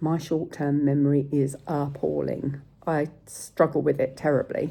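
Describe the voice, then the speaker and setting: With an English accent, a woman speaks fairly slowly at a very deep, low pitch, with vocal fry, a dark, mellow tone and a monotone, flat intonation. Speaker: sepsis survivor vlogger. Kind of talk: casual vlog talk. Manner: occasional stutter when searching for words; hesitant, with fillers.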